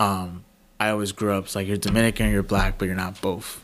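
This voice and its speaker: Someone talks with a Bronx accent on a very clean recording with a silent background. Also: man. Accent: New York, Bronx. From New York City, the Bronx. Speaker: journalist. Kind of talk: interview conversation.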